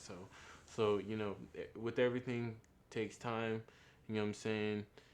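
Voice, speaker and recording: A man's fairly low voice at a fairly quick pace. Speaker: vlogger. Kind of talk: motivational monologue. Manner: halting.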